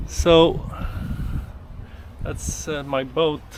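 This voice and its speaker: Noticeable background noise runs under the clip. A man talks amid audible room echo. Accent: slight French. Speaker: boat builder and video maker. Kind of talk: casual vlog talk to camera. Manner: hesitant, many fillers.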